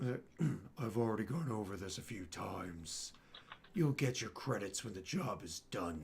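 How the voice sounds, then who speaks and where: A man in a put-on character voice sounds raspy and fairly low, with clear background noise. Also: moderate pace. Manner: annoyed, curt.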